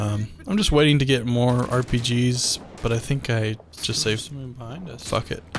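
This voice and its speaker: A man's relaxed, medium-pitched voice at a moderate pace, with noticeable background noise. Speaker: gaming commentator. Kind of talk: gameplay commentary. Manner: monotone; casual, relaxed.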